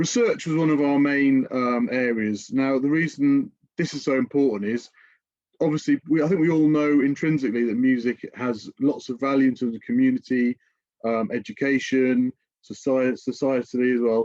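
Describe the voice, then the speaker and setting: A man with a British accent speaks at a medium pitch with ordinary pitch variation in a dry, close sound with no echo. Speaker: music industry education director. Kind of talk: webinar presentation. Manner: fast; hesitant with fillers.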